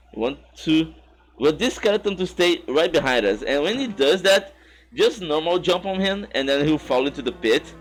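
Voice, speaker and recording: A high-pitched man with a non-native accent speaks at a moderate pace with lively intonation. Music plays in the background. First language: not English. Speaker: speedrunner. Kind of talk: tutorial. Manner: halting, with false starts.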